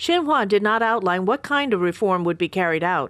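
Over a quiet background, a woman with an unremarkable speaking voice talks at a fairly quick pace with lively intonation. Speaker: news reporter. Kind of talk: scripted news report voiceover.

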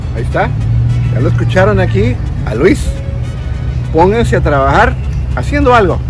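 Clear music plays behind a man who speaks with long, frequent pauses. His voice sounds dry, with no echo. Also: moderate pace. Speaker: street interviewer, video host. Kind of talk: casual street interview. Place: street. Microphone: phone near.

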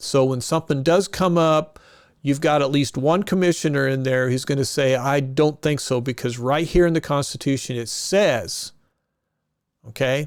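Here a man speaks with a Midwestern US accent at a moderate pace. His pitch is fairly high and varies in an ordinary way. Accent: US Midwest. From Kansas. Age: 60s. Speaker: political candidate. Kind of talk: campaign interview. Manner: casual, halting with self-corrections.

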